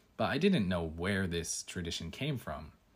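The speaker has a Canadian accent and ordinary pitch variation. The recording is very clean, with a silent background. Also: man. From Canada. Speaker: podcast host and English teacher. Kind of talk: casual solo podcast monologue.

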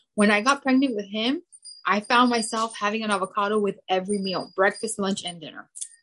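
At a fairly quick pace, a woman speaks with a medium pitch, ordinary pitch variation, a bright, sharp tone and big swings in loudness. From Cuban heritage. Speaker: mother sharing fertility story. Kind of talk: casual interview.

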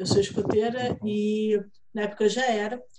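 Her tone is dark and mellow, somewhat breathy, with a fairly high pitch. This woman's pitch varies in an ordinary way. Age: 30s. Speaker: writer and literary event organizer. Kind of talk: casual chat.

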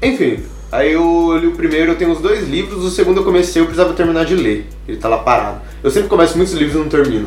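A man speaks at a very fast pace. Music plays in the background, and audible room echo is present. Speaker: podcast host. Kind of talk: casual chat.

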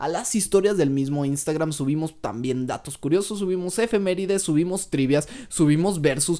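The man's tone is dark and mellow, with fairly high pitch and ordinary pitch variation. He keeps a moderate pace with hardly any pauses. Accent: Mexican. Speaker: podcast co-host. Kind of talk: casual chat.

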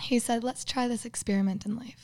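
In a very clean recording with a silent background, a woman with a slight Minnesotan accent speaks at a moderate pace in a dark, mellow tone with ordinary pitch variation. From US Midwest, Minnesota. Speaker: guest. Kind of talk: casual chat.

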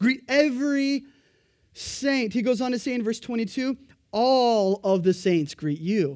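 Loud and animated, a man speaks at a moderate pace in an extremely high pitch with lively intonation, on a very clean recording with a silent background. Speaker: pastor. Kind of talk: sermon. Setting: church. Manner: loud, animated.

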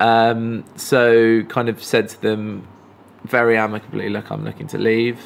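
Medium-pitched male voice with an English accent, fairly slow in pace and monotone, flat in intonation. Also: big swings in loudness. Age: 30s. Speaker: filmmaker. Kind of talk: casual chat. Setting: live stream conversation. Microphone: poor audio quality in early episode.

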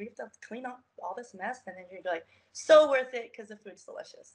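With an American accent and lively intonation, this is an ordinary speaking voice. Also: woman. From US, Baltimore, Maryland. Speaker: model and personal trainer. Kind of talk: interview.

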